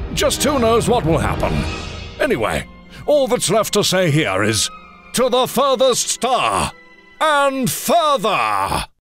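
Over background music, a high-pitched man speaks very slowly with lively intonation, very even loudness, and long, frequent pauses. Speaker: voice actor. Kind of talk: movie trailer.

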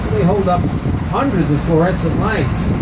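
Background noise is loud. Over it, a man speaks at a moderate pace. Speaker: boat tour guide. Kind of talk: tour commentary. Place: boat.

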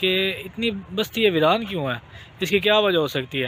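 A man talks at a fairly slow pace with ordinary pitch variation, the sound dry with no echo and light background noise. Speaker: vlogger. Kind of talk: casual vlog storytelling and moral talk. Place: open country. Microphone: phone near.

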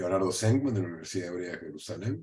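This man's voice is somewhat breathy, with a dark, mellow tone and ordinary pitch variation. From Argentina, Córdoba; Argentina. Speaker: history professor; guest. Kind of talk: interview. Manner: halting, frequent fillers and repeats. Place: home room. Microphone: webcam.

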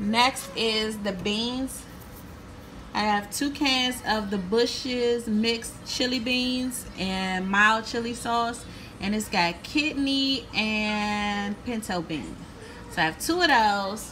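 The speaker goes at a very slow pace with ordinary pitch variation. Light background noise can be heard. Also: woman. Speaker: home cook vlogger. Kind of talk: casual cooking tutorial. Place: kitchen. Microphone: phone near.

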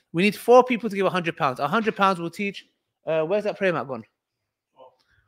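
With a British accent, a man speaks at a high pitch in an animated tone with lively intonation. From UK, Kurdish heritage. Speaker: livestream host and fundraiser. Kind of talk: live stream fundraising and Q&A. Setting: livestream.

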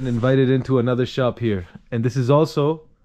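A man talks at a very fast pace in a dark, mellow tone. Light background noise can be heard. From US, New York. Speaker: travel vlogger. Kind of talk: travel vlog narration. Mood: enthusiastic, admiring. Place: street. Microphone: phone near.

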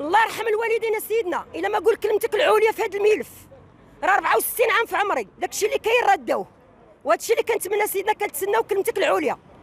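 A woman speaks very fast at an extremely high pitch, recorded dry with no echo. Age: 60s. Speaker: protester, property buyer. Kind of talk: street interview testimony, appeal to the king. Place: street. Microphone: handheld.

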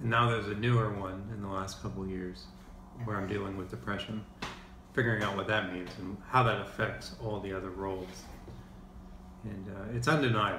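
This man speaks at a fairly quick pace with a fairly low pitch, leaving long, frequent pauses. Noticeable background noise runs behind him. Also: ordinary pitch variation. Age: 30s. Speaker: vlogger. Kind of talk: personal vlog monologue. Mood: calm, reflective, subdued. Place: kitchen. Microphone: phone near.

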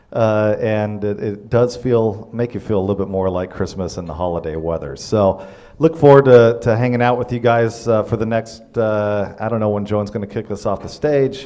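With a normal speaking voice, a man talks at a moderate pace with hardly any pauses and ordinary pitch variation. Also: fairly low pitch for a man. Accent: American. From Arizona. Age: 30s. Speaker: state senator. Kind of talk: panel discussion. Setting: stage with audience. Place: hall. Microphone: handheld.

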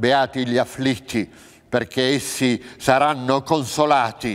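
A man delivers his words at a very slow pace in a quiet background. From central Italy, Abruzzo. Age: 60s. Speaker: actor. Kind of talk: reading aloud of scripture. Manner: formal. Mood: solemn, measured. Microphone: lapel.

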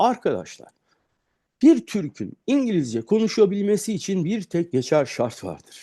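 A man talks at a fairly slow pace in a high pitch, with very wide pitch swings. His tone is dark and mellow, and the background is quiet. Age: 50s. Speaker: English teacher. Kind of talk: tutorial. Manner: animated.

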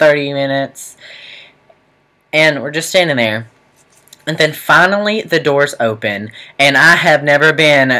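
A man at a fairly slow pace, with long, frequent pauses. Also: ordinary pitch variation, quiet background. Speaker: student vlogger. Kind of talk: casual vlog storytelling. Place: home room. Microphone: webcam.

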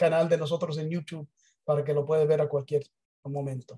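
Over a quiet background, a man with an English accent speaks in a fairly high pitch with a dark, mellow tone and monotone, flat intonation. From United States. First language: English (speaking Spanish). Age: 60s. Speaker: business presenter; presenter. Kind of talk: sales pitch. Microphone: video call.

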